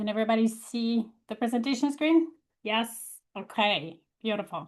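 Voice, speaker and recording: Somewhat breathy, a woman's fairly high voice carries lively intonation. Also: moderate pace. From Poland. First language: Polish. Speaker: leadership coach. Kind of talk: webinar presentation.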